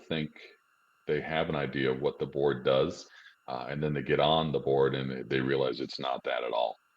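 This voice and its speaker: The speaker is a man. His voice has vocal fry. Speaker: school board association trainer. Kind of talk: informational presentation. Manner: fast.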